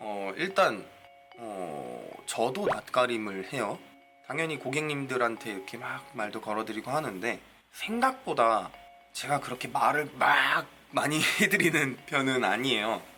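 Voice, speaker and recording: A man with a medium-pitched voice speaks at a fairly slow pace with lively intonation while music plays in the background. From South Korea, Gyeonggi (Gwangmyeong), born in Busan. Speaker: hairdresser and beauty YouTuber. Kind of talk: casual viewer Q&A talk.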